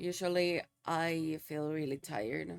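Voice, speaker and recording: A woman's put-on character voice, raspy, with very deep, low pitch and a fairly slow pace. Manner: low energy, worn out.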